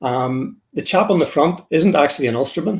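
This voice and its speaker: A man with a Northern Irish accent, somewhat breathy, at a fairly quick pace with ordinary pitch variation. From Northern Ireland. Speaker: author and military historian. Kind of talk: interview presentation. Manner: halting, with repeated words.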